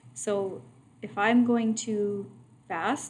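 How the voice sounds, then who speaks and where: This woman's voice sits at a medium pitch. Audible room echo surrounds it. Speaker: math teacher. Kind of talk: lecture. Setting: online video lesson.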